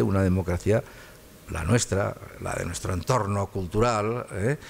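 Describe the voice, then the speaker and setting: A man with a fairly low pitch and ordinary pitch variation speaks at a fairly slow pace. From Spain, Catalonia (Barcelona). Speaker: constitutional law professor. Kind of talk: lecture. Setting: lecture hall with audience. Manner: halting, many repetitions.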